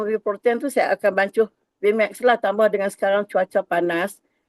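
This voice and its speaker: A woman with a normal speaking voice talks at a fairly slow pace, her fairly high pitch held in fairly even intonation, with a dry, close sound and no echo. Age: 60s. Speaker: network marketing agent. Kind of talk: testimony. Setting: video call.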